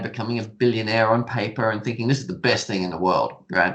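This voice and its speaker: A man with an Australian accent at a fairly quick pace, with fairly even intonation. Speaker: stock trading educator. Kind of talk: podcast interview.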